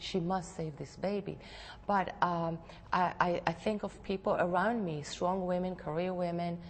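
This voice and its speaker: In an Israeli accent, a woman speaks at a moderate pace. Her fairly low voice stays in a monotone, flat intonation. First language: Hebrew. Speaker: novelist. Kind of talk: TV interview. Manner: halting.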